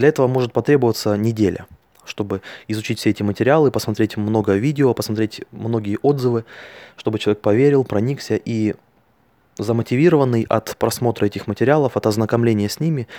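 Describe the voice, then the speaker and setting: In a dry, close sound with no echo, a man with a dark, mellow tone talks at a very fast pace with ordinary pitch variation. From Russia, Altai Krai. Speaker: network marketing distributor. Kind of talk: monologue recording.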